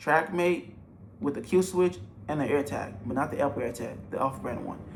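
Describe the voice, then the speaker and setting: A man's fairly high, animated voice with vocal fry and lively intonation. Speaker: entrepreneur giving business advice. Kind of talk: tutorial. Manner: fast.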